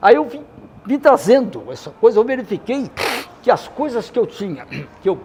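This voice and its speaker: A man talks at a moderate pace. Behind him, noticeable background noise can be heard. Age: 80s+. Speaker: retired teacher guest on a podcast. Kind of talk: casual interview chat. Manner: halting, many repetitions.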